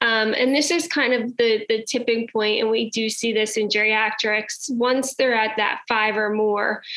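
A woman with an American accent talks at a fairly slow pace with hardly any pauses, her pitch fairly high and her intonation fairly even. Her loudness stays very even over noticeable background noise. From New Jersey. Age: 30s. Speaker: pediatric pharmacist. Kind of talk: interview conversation.

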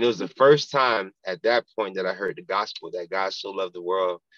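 A man with an American accent at a very fast pace, in a dry, close sound with no echo. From South Florida (Pompano Beach). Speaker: football chaplain, former pro football player. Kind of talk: casual interview, testimony.

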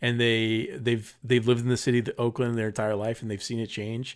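A man with an American accent and a medium-pitched voice, on a very clean recording against a silent background. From Southern California, Paramount. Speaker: podcast co-host, film reviewer. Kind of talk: casual chat.

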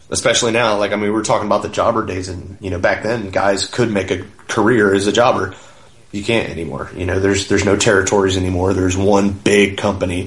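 Over noticeable background noise and audible room echo, a man speaks very fast. His fairly low voice stays monotone and flat. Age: 30s. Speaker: professional wrestler. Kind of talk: casual interview.

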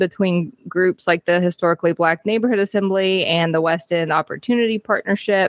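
Delivered at a moderate pace with ordinary pitch variation, an unremarkable speaking voice comes through dry and close with no echo. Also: woman. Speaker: podcast co-host.

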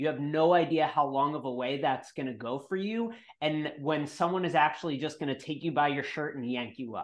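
This man has an ordinary speaking voice, fairly high in pitch with an American accent and ordinary pitch variation. He talks at a fairly quick pace with hardly any pauses against a quiet background. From New York. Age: 30s. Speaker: real estate investor. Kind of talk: interview.

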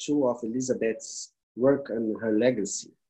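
Here a man talks with a Brazilian accent. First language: Portuguese. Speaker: palliative care foundation leader. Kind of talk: interview. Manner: halting.

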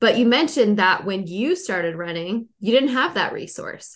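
A woman with an American accent speaks in a plain, everyday voice, medium in pitch with lively intonation. She keeps a moderate pace against a quiet background. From Western Pennsylvania, Pittsburgh. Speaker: podcast host and running store employee. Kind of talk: casual interview.

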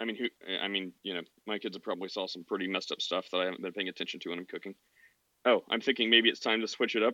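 A man's fairly low voice, bright and sharp, at a very fast clip, dry and close with no echo over a quiet background. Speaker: podcast host. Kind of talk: casual call-in discussion. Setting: online audio chat room. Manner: animated.

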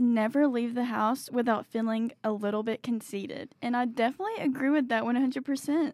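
A high-pitched woman with a Southern accent, a fairly quick pace and very even loudness. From Tennessee, near Nashville. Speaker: student radio fashion assistant. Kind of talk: casual chat. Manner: animated.

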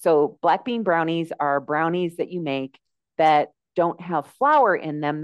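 A woman's plain, everyday voice with an American accent, fairly low in pitch, at a fairly slow pace, with a dry, close sound with no echo. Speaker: health and life coach. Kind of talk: interview. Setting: remote call.

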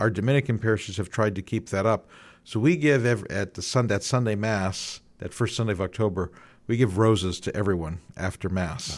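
With a Midwestern American accent, a man talks at a fairly quick pace in a fairly low pitch, recorded very cleanly against a silent background. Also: ordinary pitch variation. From Northeast Ohio, Youngstown. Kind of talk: radio interview. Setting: radio studio.

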